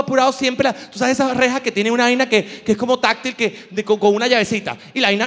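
A man speaks at an extremely high pitch and a very fast pace. His intonation stays fairly even. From Venezuela. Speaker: comedian. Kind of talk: stand-up. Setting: stage with audience. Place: stage. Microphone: handheld.

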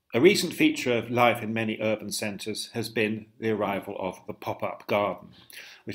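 At a moderate pace, a man with an unremarkable speaking voice talks at a fairly low pitch with ordinary variation. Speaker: co-host of gardening webinars. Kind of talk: casual chat. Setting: video call.

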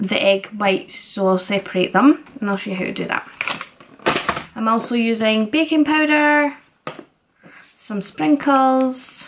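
Over noticeable background noise, a woman speaks with lively intonation. Her pace is fairly slow. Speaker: fitness vlogger. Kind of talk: tutorial. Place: kitchen. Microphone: phone near.

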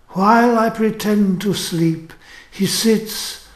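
The speech comes at a very slow pace. Noticeable background noise is audible. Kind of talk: literary audiobook reading. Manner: shifts into a wry, mocking, haughty tone for the emperor and Spartan speakers.

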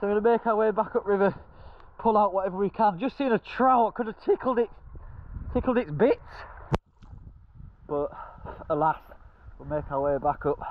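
The man's pitch is high, with ordinary variation. He keeps a moderate pace broken by long, frequent pauses.

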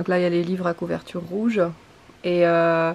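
Moderate pace from a woman's voice. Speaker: book vlogger. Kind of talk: casual vlog chat. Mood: light, self-mocking. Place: home room. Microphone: phone near.

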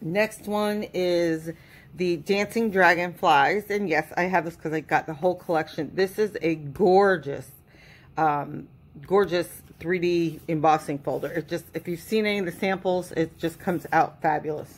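With an ordinary speaking voice, a woman with a fairly low pitch talks at a moderate pace and fairly even intonation. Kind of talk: casual haul unboxing chat.

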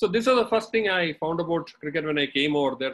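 The intonation is lively. A man is talking at a very fast pace. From India, Kerala (Ernakulam/Cochin); Kerala, India. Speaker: former cricketer and umpire; webinar guest. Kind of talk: webinar talk. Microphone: video call.

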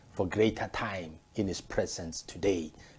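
The voice has a dark, mellow tone with ordinary pitch variation at a fairly slow pace. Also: man. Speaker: pastor. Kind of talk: sermon. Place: office. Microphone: lapel.

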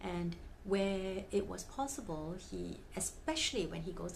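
A woman speaks in a fairly low pitch over light background noise. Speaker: fan vlogger. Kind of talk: casual vlog chat. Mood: cheerful storytelling. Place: home room.

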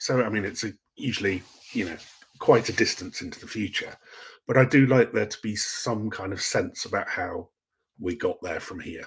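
Against a quiet background, a man talks with an English accent. His pace is moderate. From England. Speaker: science fiction author; guest. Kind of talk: casual interview. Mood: relaxed, thoughtful. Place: home room.

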